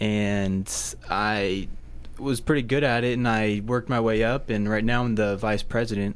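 A man's fairly low voice at a moderate pace, with fairly even intonation, very even loudness and audible room echo. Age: young. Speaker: college student. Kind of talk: radio interview.

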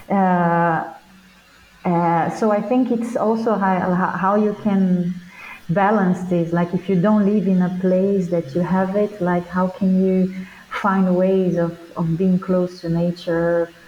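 Speaking very slowly with a Portuguese accent, a woman keeps a medium pitch, a flat, monotone delivery and very even loudness against noticeable background noise. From Brazil. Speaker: performing artist and teacher. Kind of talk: interview. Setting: remote call.

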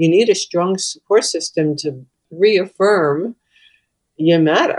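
A woman with a fairly low pitch and ordinary pitch variation speaks in a normal speaking voice. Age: 60s. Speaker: hospital chaplain and caregiver. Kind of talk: interview conversation.

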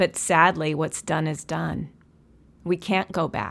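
Against a silent background in a very clean recording, a woman talks at a fairly slow pace with vocal fry and fairly even intonation. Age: 60s. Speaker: podcast host and counselor. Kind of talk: monologue.

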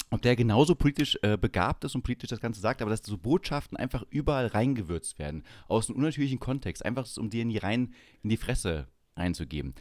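In a very clean recording with a silent background and a dry, close sound with no echo, a man speaks fairly quickly at a medium pitch with vocal fry and very wide pitch swings. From eastern Germany, Saxony-Anhalt. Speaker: podcast host. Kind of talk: casual chat.

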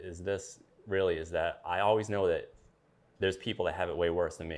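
A man with a very deep, low pitch speaks with an American accent against a quiet background. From Maine, US. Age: 40s. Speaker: army veteran with Parkinson's disease. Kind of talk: interview. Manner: halting, with pauses.

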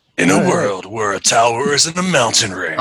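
A man's put-on character voice at medium pitch, with very wide pitch swings and a fairly quick pace. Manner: dramatic, portentous.

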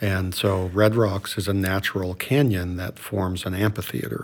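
With an American accent and a plain, everyday voice, a man speaks at a fairly slow pace, his fairly low pitch following a fairly even intonation. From Colorado. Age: 60s. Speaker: doctor. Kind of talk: casual chat.

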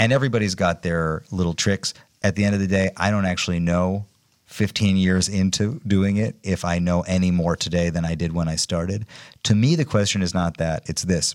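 A man's very deep, low pitch at a fairly quick pace, with fairly even intonation, on a very clean recording with a silent background. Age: 40s. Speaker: music producer and musician. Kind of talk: casual interview chat.

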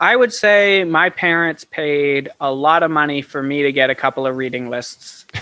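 A man with a plain, everyday voice, fairly high in pitch, at a moderate pace with ordinary pitch variation and hardly any pauses. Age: 20s. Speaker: author and filmmaker. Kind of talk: casual chat.

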